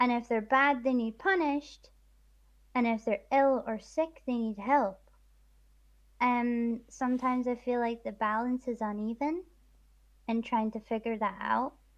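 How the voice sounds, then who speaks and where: The speaker has a Scottish accent and talks at a fairly slow pace with long, frequent pauses. The background is quiet. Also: woman, high pitch for a woman, ordinary pitch variation. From east coast of Scotland. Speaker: streamer guest. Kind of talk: casual chat.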